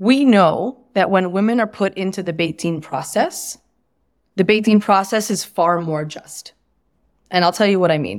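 In an American accent, a woman with a plain, everyday voice speaks at a moderate pace, with medium pitch and ordinary pitch variation, on a very clean recording with a silent background. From United States. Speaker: writer and activist. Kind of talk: interview conversation.

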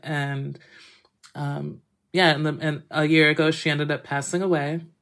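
A woman with an American accent and a very deep, low voice speaks at a moderate pace with fairly even intonation, in a very clean recording with a silent background. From Massachusetts, US. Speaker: chef and cookbook author. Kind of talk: interview.

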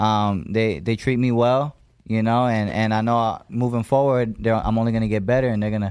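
On a very clean recording with a silent background, a man at medium pitch talks at a fairly quick pace in a monotone, flat intonation. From Las Vegas, US. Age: young. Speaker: boxer. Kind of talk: interview. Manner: halting.

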